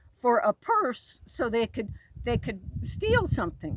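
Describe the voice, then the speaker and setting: A woman is speaking. Her voice is loud. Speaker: military veteran. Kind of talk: personal monologue. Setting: outdoors.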